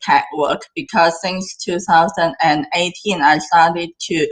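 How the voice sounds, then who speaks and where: Speaking at a fairly slow pace in a Cantonese accent, a woman keeps a medium pitch and fairly even intonation. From southern China, near Hong Kong. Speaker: AI filmmaker and director. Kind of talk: interview. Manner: halting.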